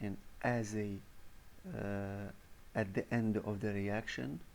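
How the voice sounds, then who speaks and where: A man with a non-native accent talks at a very slow pace in a fairly low voice with ordinary pitch variation, and audible room echo surrounds him. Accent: non-native English, pronunciation mistakes. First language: not English (English is third language). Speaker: university lecturer. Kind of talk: recorded lecture. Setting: voice-over on presentation slides. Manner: halting, with fillers.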